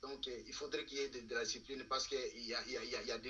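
A man is speaking. His pace is fairly quick. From Democratic Republic of the Congo. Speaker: political analyst. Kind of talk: political talk show discussion. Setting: TV studio. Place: home room. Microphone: video call.

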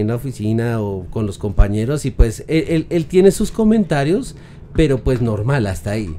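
Through light background noise, a man with a dark, mellow tone speaks at a moderate pace with very wide pitch swings. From Colombia. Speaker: voice narrator and digital producer; voice narrator. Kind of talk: casual chat. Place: home room. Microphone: studio mic.

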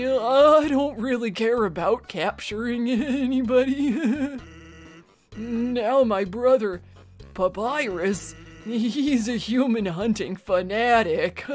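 Putting on a character voice, a woman with a fairly high pitch speaks at a very slow pace over faint music in the background. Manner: laid-back, drawling.

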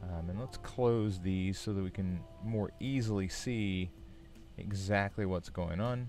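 Faint music plays in the background as a man talks. He speaks at a very slow pace and a fairly low pitch. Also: dry sound with no echo. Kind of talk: tutorial. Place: home room. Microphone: studio mic.

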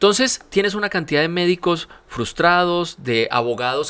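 A man speaks in an animated, bright and sharp voice, with lively intonation and a fairly quick pace. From Colombia. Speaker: university rector; podcast guest. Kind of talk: interview. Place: studio. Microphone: studio mic.

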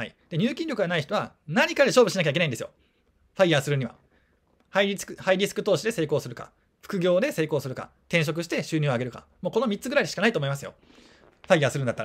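A man's high voice, very fast, with very wide pitch swings and big swings in loudness. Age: 30s. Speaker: personal finance YouTuber. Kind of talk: casual monologue. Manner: casual, with laughter.

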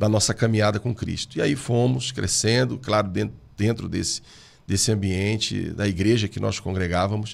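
At a moderate pace, the pitch shifts in an ordinary way. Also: man. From Brazil. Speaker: pastor. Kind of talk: interview. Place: studio. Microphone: studio mic.

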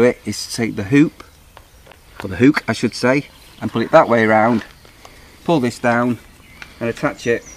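Light background noise sits behind a man's dry voice with no echo. He speaks at a moderate pace with fairly even intonation. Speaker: camper owner demonstrating. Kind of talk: tutorial. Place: open country.

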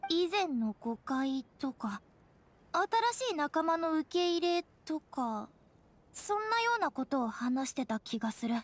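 A woman uses a cartoonish character voice, high-pitched with big pitch swings, speaking at a slow pace.

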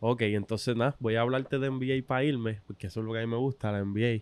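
A man talks at a fairly quick pace in a Puerto Rican accent with fairly even intonation. The sound is dry with no echo. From Puerto Rico. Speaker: sports podcast host. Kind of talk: casual interview. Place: studio. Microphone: studio mic.

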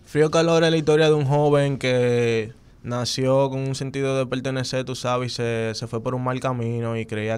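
A man with a Dominican accent talks at a moderate pace with hardly any pauses. His intonation stays fairly even. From Dominican Republic, Santo Domingo; Dominican Republic. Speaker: urban music artist; interview guest. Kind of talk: casual interview. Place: studio. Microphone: studio mic.

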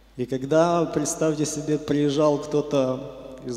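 Audible room echo surrounds a man speaking very slowly at a fairly high pitch with fairly even intonation. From western Ukraine. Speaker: church member giving testimony. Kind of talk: testimony / sermon-like talk. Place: church. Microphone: handheld.

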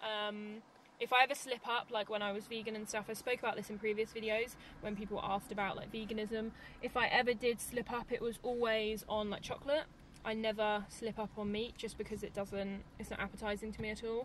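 Over light background noise, a woman talks at a fairly quick pace. Her intonation is monotone and flat, and the sound is dry with no echo. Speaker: vlogger. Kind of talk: casual vlog chat. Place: car.

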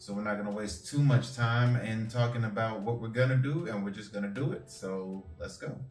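A man at a fairly quick pace, with ordinary pitch variation, audible room echo, and faint music in the background. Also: hardly any pauses. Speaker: fitness coach. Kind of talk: workout tutorial. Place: home room. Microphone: camera far.

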